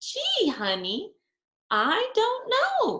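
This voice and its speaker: An extremely high, squeaky put-on character voice from a woman, gentle in tone. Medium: read story. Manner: gentle, affectionate.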